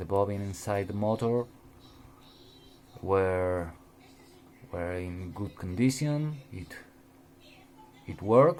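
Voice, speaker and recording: Speaking with a Spanish accent at a very slow pace, a man with a fairly low pitch and ordinary pitch variation takes long, frequent pauses and makes big swings in loudness. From Spain. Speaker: RC hobbyist. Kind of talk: tutorial. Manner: halting, with many repeated words.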